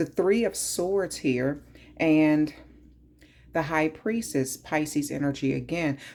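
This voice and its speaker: The speech comes at a very slow pace in a strong Southern US accent, with long, frequent pauses. Loudness stays very even, and pitch variation is ordinary. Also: woman, very deep, low pitch for a woman. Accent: heavy southern US. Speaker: tarot reader. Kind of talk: tarot reading.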